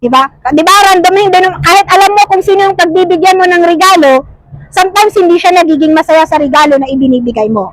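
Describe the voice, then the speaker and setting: Loud speech comes at a very fast pace. The pitch variation is ordinary. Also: woman, extremely high pitch for a woman. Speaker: preacher. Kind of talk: sermon.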